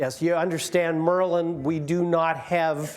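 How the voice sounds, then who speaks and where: Audible room echo surrounds a man who speaks at a fairly slow pace with a fairly high pitch. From Maryland, Annapolis area. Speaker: retired navy officer. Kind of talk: talk to an audience. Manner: hesitant with fillers.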